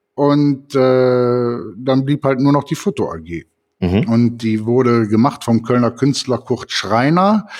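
Against a quiet background, a man talks at a very slow pace. His pitch shows ordinary variation. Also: medium pitch for a man. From Cologne. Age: 50s. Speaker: photographer and podcast co-host. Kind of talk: casual chat.

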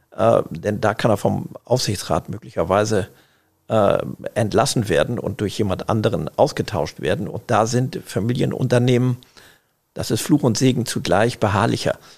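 At a moderate pace, a man speaks with vocal fry, a medium pitch and ordinary pitch variation. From northern Germany, Schleswig-Holstein (Eckernförde). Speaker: family business managing director. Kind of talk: interview. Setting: tower room at company office.

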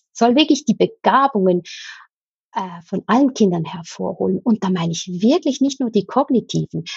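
Her pitch medium and her intonation lively, a woman speaks at a moderate pace with vocal fry. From Switzerland. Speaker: escape game company owner and teacher trainer. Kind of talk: interview.

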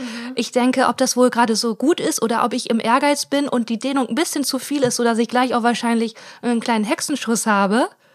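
Fairly high in pitch, a woman talks at a fairly quick pace. Hers is a plain, everyday voice. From Germany, Ruhr area (Hiesfeld). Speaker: comedian and podcast co-host. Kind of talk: casual chat. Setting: recorded sitting in bed. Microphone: sharing one mic, sound quality poor in first episode.

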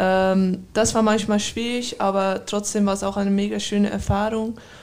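On a very clean recording with a silent background, a woman with a Dutch accent speaks at a fairly slow pace in a monotone, flat intonation. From Netherlands. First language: Dutch (speaking German). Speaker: professional handball player. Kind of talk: interview.

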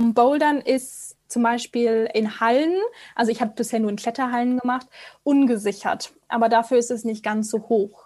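Her voice is a plain, everyday voice at a fairly high pitch. This woman keeps a moderate pace with fairly even intonation. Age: 20s. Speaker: radio co-host. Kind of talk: casual chat. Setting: video call.

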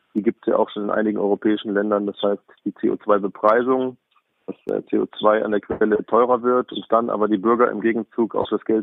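A man with a medium pitch talks at a moderate pace, his intonation monotone and flat. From Bavaria, Lower Bavaria. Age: 40s. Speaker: politician, member of parliament. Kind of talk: interview. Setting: phone call.

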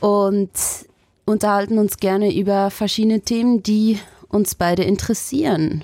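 A woman's medium-pitched voice, dark and mellow in tone, with a moderate pace, very even loudness and fairly even intonation. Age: 20s. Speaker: podcast host, journalist. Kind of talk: casual chat.

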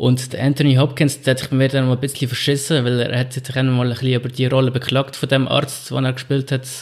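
Talking at a fairly quick pace with hardly any pauses, a man with a medium-pitched voice keeps a monotone, flat intonation. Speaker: podcast co-host. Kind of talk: casual chat.

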